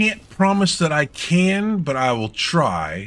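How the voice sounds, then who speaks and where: Very slow in pace, a man with an American accent speaks at a fairly high pitch with very wide pitch swings. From US South (Georgia). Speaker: streamer. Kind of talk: casual chat.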